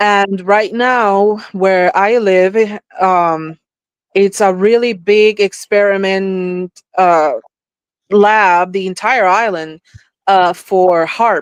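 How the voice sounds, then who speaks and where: Speaking with a Spanish accent at a very slow pace, a woman keeps very even loudness and fairly even intonation in a dry, close sound with no echo. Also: medium pitch for a woman. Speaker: psychic / spiritual experiencer. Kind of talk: podcast interview. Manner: halting, with fillers.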